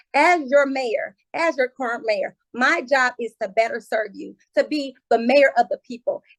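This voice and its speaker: In a dry, close sound with no echo, a woman speaks at a high pitch and a moderate pace in a passionate tone. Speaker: mayoral candidate, incumbent mayor. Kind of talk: candidate forum closing statement. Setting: video call.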